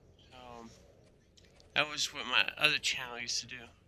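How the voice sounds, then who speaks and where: A man's bright, sharp tone at a moderate pace. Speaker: gaming youtuber. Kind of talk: gameplay commentary. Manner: halting; casual.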